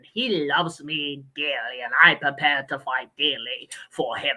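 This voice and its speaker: Using a put-on character voice, a woman speaks fairly slowly in a theatrical, sinister tone. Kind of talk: archaic, dramatic.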